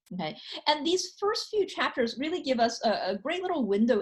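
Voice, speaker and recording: Somewhat breathy and at a fairly quick pace, a woman speaks with very wide pitch swings. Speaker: professor. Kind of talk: lecture. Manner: hesitant, many fillers.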